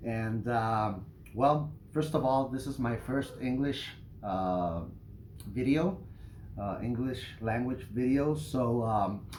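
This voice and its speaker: A man speaks very slowly with a slight non-native accent and ordinary pitch variation. Room echo can be heard. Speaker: knife reviewer, YouTuber. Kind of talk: product review. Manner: hesitant, many fillers.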